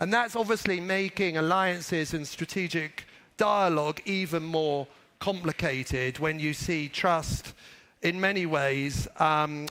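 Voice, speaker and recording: A fairly slow British accent with fairly even intonation in a very clean recording with a silent background. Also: man. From Britain. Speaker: business executive. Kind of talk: conference speech.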